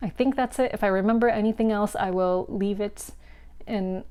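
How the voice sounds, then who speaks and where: In a dark, mellow tone, a woman's voice holds a medium pitch. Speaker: board game content creator. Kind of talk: casual vlog monologue. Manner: casual with many fillers.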